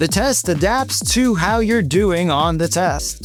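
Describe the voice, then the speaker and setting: With an American accent, a man talks while noticeable noise sounds in the background. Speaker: test prep presenter. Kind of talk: scripted narration. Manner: clear.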